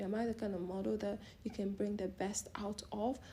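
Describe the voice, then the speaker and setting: A woman's medium-pitched voice with a dark, mellow tone, vocal fry, fairly even intonation and a fairly quick pace. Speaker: model and vlogger. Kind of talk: casual advice talk. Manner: fast.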